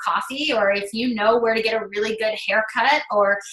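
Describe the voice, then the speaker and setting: Fairly high female speech, ordinary in its pitch variation, set against noticeable background noise. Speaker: fitness business coach. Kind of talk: sales pitch. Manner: fast.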